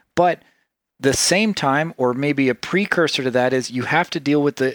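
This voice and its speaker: A man with an American accent and a medium pitch speaks with ordinary pitch variation, in a very clean, dry, close recording with no echo and a silent background. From US South, Tennessee. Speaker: podcast host. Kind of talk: casual conversation. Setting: office in a villa.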